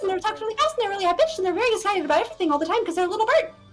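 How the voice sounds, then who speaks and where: A put-on character voice, extremely high in pitch, rattles along at a very fast pace with clear music in the background. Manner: chirpy, excited, ambitious.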